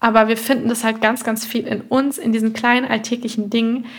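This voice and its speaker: A woman's fairly high, somewhat breathy voice, flat and monotone in intonation, at a fairly quick pace. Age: 20s. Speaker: nutrition therapist and podcast host. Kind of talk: solo podcast monologue. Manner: warm, conversational.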